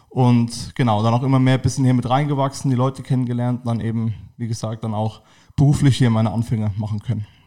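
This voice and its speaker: In a very clean recording with a silent background, a man rushes through his words very fast in a dark, mellow, monotone voice. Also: medium pitch for a man. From southern Hesse, Germany. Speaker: football fan social worker. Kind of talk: casual interview chat. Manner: hesitant with many fillers.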